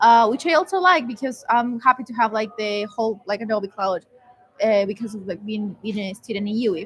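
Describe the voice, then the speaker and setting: The loudness rises and falls sharply. Pitch moves in an ordinary way at a fairly quick pace. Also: woman, fairly high pitch for a woman. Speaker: student co-host. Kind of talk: casual chat. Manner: hesitant, many fillers.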